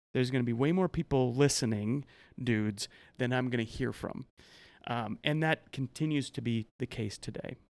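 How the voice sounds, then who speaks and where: A man with a plain, everyday voice speaks at a medium pitch and a moderate pace, with ordinary pitch variation, in a dry, close sound with no echo. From US Midwest, farm and ranch family. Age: 40s. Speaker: author and men's life coach. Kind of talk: casual interview.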